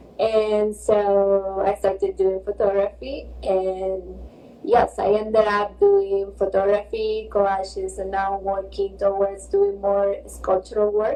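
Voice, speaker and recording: A woman talks very slowly while noticeable noise fills the background. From Argentina, Buenos Aires. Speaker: visual artist. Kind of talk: interview.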